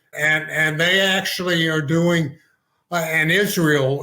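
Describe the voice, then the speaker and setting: A man with an American accent speaks at a very slow pace in a monotone, flat intonation. His voice is fairly high with a bright, sharp tone. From Texas. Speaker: physician and author. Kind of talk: podcast interview.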